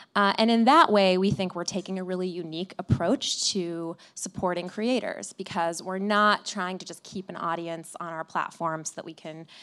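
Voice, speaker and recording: A woman speaks in a Midwestern accent at a fairly low pitch. Her pace is moderate, with ordinary pitch variation. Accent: American Midwest. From US Midwest, Flint, Michigan. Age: 30s. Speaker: tech company CEO. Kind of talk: live interview on stage. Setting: stage with audience. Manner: hesitant, many fillers and repetitions.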